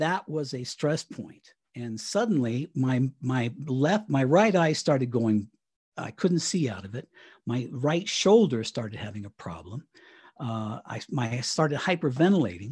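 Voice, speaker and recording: At a fairly slow pace, a somewhat breathy man of medium pitch talks with very wide pitch swings and big swings in loudness. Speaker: retired radio broadcaster. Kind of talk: interview.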